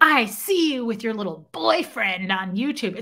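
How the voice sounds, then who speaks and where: Using a put-on character voice, a woman speaks at a moderate pace in a fairly high pitch. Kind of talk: casual livestream chat. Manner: mocking, menacing.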